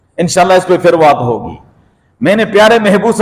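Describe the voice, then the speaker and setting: The pitch varies in an ordinary way. It belongs to a man. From Pakistan. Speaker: Islamic preacher. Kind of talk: religious sermon.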